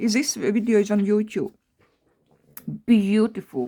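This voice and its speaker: A woman's fairly high pitch with ordinary pitch variation, at a fairly slow pace. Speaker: craft youtuber. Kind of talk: craft tutorial. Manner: halting; animated.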